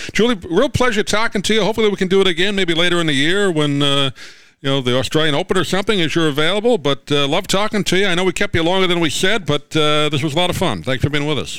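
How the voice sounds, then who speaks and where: Talking very fast with an American accent, a man uses a high pitch. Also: ordinary pitch variation. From New York. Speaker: sports talk radio host. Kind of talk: radio interview.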